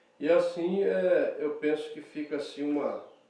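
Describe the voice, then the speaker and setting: A man speaks at a very slow pace. The room echo is audible. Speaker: pastor. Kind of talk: sermon. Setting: church.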